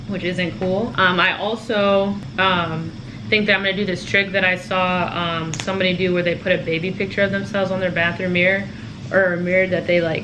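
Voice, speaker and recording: Amid noticeable background noise and audible room echo, a woman talks fairly quickly at medium pitch with ordinary pitch variation. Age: 20s. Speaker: lifestyle vlogger. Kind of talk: casual chat. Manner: fast; animated.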